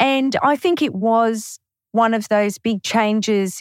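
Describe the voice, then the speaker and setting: A woman with an Australian accent speaks at a very slow pace. The recording is very clean, with a silent background. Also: dry, close sound with no echo. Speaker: bookkeeper. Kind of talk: interview.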